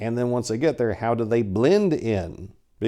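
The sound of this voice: Unforced reading voice, aloud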